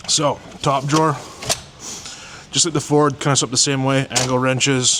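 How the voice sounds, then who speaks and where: Noticeable background noise is present. Over it, a man talks fairly fast. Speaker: mechanic showing his service truck. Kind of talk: walkaround truck tour video.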